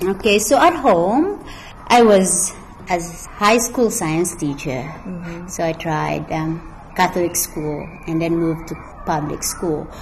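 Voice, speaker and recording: Against noticeable background noise, a woman speaks at a very slow pace, her pitch fairly low with ordinary variation. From Philippines, Mountain Province. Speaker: school librarian. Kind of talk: interview.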